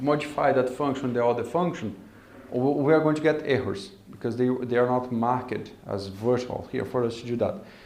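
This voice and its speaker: A man is talking. Room echo can be heard around his voice. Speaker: coding bootcamp instructor. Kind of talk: lecture.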